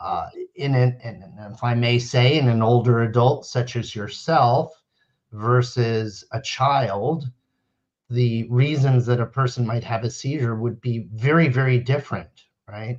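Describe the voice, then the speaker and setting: A man with an American accent speaks fairly slowly, somewhat breathy, with fairly even intonation. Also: medium pitch for a man, quiet background. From US Northeast, central New Jersey. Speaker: neurologist. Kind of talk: interview. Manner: explanatory, measured.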